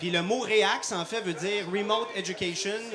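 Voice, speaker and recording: A man with a Quebec accent uses a raised, projected voice at a high pitch, speaking at a moderate pace with ordinary pitch variation over noticeable background noise. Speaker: cardiologist and intensive care doctor. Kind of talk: live product demonstration. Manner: many hesitations (euh).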